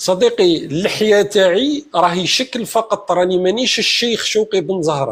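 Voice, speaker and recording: A man speaks at a moderate pace with a high pitch and hardly any pauses. His intonation is lively and his tone animated. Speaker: political commentator in online debate. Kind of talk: heated debate.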